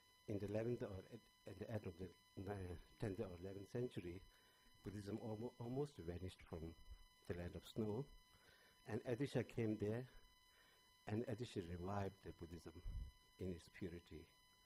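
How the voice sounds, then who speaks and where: Somewhat breathy and dark, mellow in tone, a man speaks at a fairly low pitch with ordinary pitch variation and long, frequent pauses. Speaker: panelist at a Buddhist conference. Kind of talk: conference talk. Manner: halting, many fillers and restarts.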